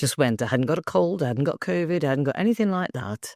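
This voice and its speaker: Very fast, animated delivery with an English accent and very wide pitch swings. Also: woman, dry, close sound with no echo. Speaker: actor and spiritual coach. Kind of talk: interview. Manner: speaking in low tones.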